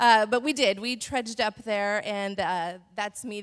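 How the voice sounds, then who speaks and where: A woman with an American accent and a plain, everyday voice, medium pitch and fairly even intonation, in a very clean, dry, close recording with a silent background and no echo. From Montana. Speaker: church women's panelist. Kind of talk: testimony.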